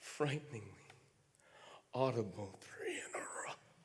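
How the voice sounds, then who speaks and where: A man with an American accent speaks fairly slowly in a fairly high, somewhat breathy voice. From United States. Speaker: slam poet. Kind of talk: poetry slam performance. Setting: theatre stage.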